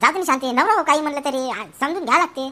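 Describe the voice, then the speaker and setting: A woman puts on a cartoonish character voice, high in pitch and very fast. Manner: calm, reasoning.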